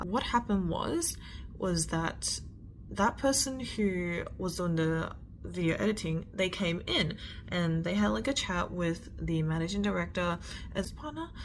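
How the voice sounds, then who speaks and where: Audible room echo surrounds the voice. The speech moves at a fairly slow pace. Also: woman. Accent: Australian. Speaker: storyteller. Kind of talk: storytime. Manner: slurred words.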